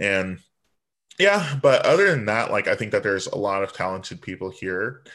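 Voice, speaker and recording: A man with an American accent at a moderate pace, against a quiet background. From Virginia Beach, US. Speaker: drag performer. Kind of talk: casual chat. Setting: video call.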